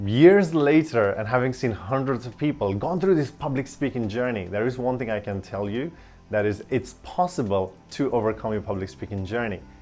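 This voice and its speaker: Over music in the background, a man talks at a medium pitch with hardly any pauses. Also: lively intonation, moderate pace. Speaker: public speaking coach. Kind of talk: tutorial.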